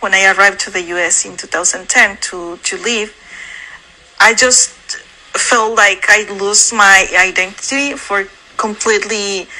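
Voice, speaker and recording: Noticeable background noise sits behind a woman who talks fairly slowly. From Mexico. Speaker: dentist. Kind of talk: interview.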